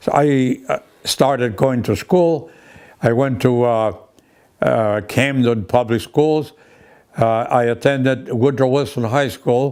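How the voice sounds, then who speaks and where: Speaking very slowly in a Greek accent, a man keeps his loudness very even while his pitch varies in an ordinary way. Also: medium pitch for a man. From Greece. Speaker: broadcaster and war veteran. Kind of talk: interview.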